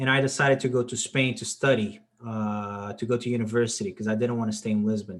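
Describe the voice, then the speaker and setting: The speaker has a Portuguese accent and keeps a moderate pace. The pitch varies in an ordinary way. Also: man. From Portugal. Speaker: discussion club host. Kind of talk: casual chat.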